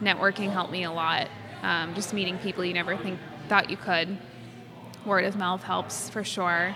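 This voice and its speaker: A woman with an American accent speaks at medium pitch in a monotone, flat intonation, at a moderate pace with long, frequent pauses. Noticeable background noise and audible room echo come through. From Massachusetts (Quincy, near Boston). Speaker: fashion illustrator. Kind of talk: interview conversation.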